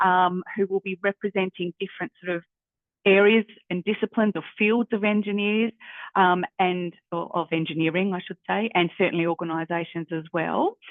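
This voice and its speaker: A woman speaks with an Australian accent at medium pitch. Her intonation is fairly even. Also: moderate pace. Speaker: university careers adviser. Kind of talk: workshop facilitation. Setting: video call. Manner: hesitant, many fillers.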